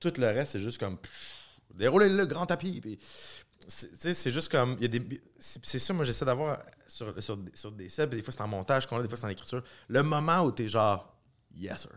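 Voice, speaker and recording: A man with a Quebec accent speaks at a medium pitch and a moderate pace, his pitch swinging very widely and his speech broken by long, frequent pauses. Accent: Québécois French. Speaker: film director. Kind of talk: casual chat.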